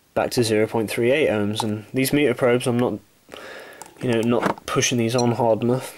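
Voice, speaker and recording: Moderate pace over noticeable background noise. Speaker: electronics repair hobbyist. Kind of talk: tutorial.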